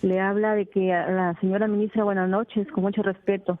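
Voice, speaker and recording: The woman's intonation stays monotone and flat. She talks at a medium pitch. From Peru, Tumbes. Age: 60s. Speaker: caller, rural resident. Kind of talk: call-in plea. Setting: phone call to radio.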